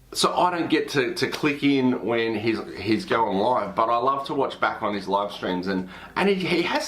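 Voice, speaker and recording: Lively in intonation, a man speaks at a medium pitch with an Australian accent. Room echo is audible and there is noticeable background noise. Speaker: pastor and YouTuber. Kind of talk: casual recommendation video. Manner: hesitant, repeats words.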